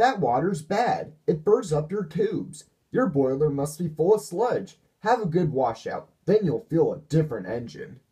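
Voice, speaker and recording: In a put-on character voice, a man speaks with a high pitch. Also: moderate pace. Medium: read story. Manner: self-important.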